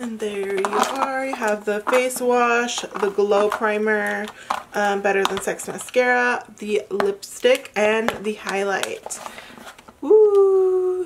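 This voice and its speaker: Amid noticeable background noise, a woman talks at a fairly high pitch and a very slow pace. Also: ordinary pitch variation. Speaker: beauty vlogger. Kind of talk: product unboxing and review. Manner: casual, chatty.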